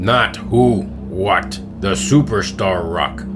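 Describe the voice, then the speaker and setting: A man speaks very slowly in a put-on character voice, his pitch fairly low. Loud music plays in the background. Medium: audio drama. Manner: formal, commanding.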